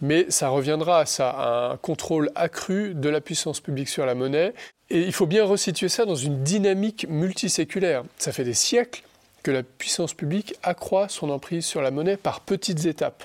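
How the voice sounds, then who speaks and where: This man has a high voice and lively intonation. He talks at a moderate pace. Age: 40s. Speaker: senior civil servant and Bitcoin advocate. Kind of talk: interview.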